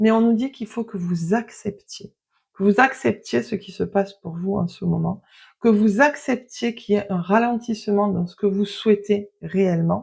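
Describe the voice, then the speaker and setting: A quiet woman with a somewhat breathy voice speaks at a fairly slow pace and medium pitch, with ordinary pitch variation. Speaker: tarot card reader. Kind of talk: card reading. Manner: hesitant.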